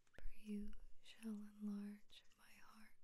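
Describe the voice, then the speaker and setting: Soft-spoken and gentle in tone, the voice moves at a very slow pace, with a dry sound with no echo and light background noise. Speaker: ASMR channel host. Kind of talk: soft-spoken bible reading for sleep / ASMR. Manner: soft-spoken, slow, gentle.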